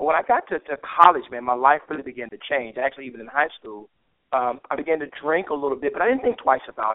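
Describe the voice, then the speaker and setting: A man speaks at a very fast pace. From Memphis, Tennessee. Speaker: pastor. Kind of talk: interview.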